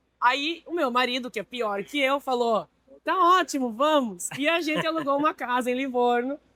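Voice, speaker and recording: A woman's high-pitched voice with ordinary pitch variation, dry and close with no echo. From Brazil. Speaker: marine industry executive. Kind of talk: interview. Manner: hesitant, with fillers.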